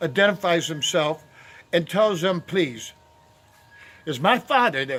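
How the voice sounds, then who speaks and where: The man's voice comes out loud. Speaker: volunteer barber and video blogger. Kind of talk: casual storytelling. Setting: outdoors. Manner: halting, many fillers.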